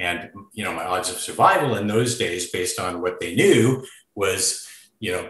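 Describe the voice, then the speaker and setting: A man at a moderate pace, with audible room echo. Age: 60s. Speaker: filmmaker and journalist. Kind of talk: interview podcast.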